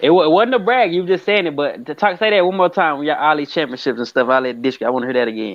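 A man with an American accent talks at a very fast pace. His tone is animated and his intonation lively. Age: 30s. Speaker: podcast host. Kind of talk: interview. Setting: remote call. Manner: halting.

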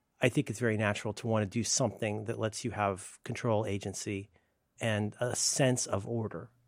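A man talks at a fairly quick pace. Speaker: podcast co-host. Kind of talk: casual chat. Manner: low energy; speaking quietly.

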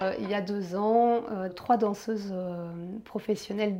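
At a very slow pace, a woman speaks with a medium pitch, a dark, mellow tone, and fairly even intonation. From Belgium. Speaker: massage therapist. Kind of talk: interview. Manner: hesitant, many fillers.

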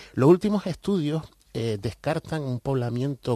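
A man's dark, mellow tone comes through in a dry, close sound with no echo. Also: quiet background. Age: 50s. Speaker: writer and researcher of Canarian culture. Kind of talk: radio interview.

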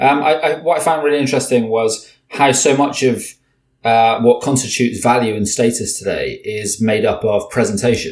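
At a moderate pace, a man with a British accent speaks at a medium pitch with ordinary pitch variation. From Britain. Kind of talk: interview conversation. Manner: halting, many repetitions and fillers.

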